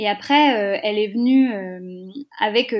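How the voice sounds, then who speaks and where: Her pitch is fairly high for a woman. She speaks with ordinary pitch variation. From rural France. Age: 20s. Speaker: startup founder. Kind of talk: interview. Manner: energetic.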